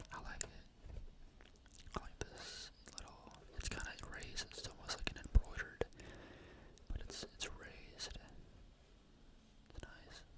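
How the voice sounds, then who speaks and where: Whispering in a relaxed tone at a moderate pace, the speaker leaves long, frequent pauses over noticeable background noise. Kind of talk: whispered ASMR product review. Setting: close-mic ASMR recording. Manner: whispered, soft, relaxed.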